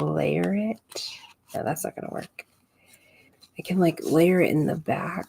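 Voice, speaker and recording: A woman mumbles at a fairly slow pace, leaving long, frequent pauses. The sound is dry and close, with no echo. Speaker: scrapbooking livestreamer. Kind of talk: live crafting tutorial chat. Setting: home craft desk livestream. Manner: mumbling to herself.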